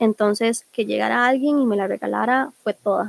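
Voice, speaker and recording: With a Costa Rican accent, a woman talks at a moderate pace in a fairly high pitch with fairly even intonation, the sound dry and close with no echo. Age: 20s. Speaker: podcast host. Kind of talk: casual monologue.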